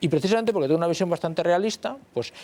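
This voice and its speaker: This man talks at a high pitch. The pitch shifts in an ordinary way. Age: 50s. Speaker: history professor. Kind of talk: panel discussion. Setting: TV studio.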